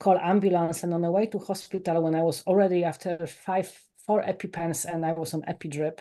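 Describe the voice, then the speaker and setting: A woman with a Polish accent talks in a fairly low pitch with a dark, mellow tone. The background is quiet. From Poland. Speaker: life coach and author. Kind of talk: podcast interview. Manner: animated.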